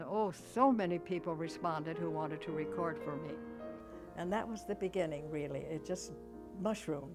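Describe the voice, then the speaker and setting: A moderate pace with music in the background. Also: woman. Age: 80s+. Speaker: founder of a recording service for the blind. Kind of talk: interview answer.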